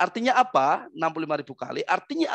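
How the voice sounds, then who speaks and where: In a dry recording with no echo and a quiet background, a man speaks at a moderate pace with a high pitch. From East Java, Indonesia. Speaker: motivator and trainer; trainer. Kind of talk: webinar talk. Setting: video call. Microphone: headset.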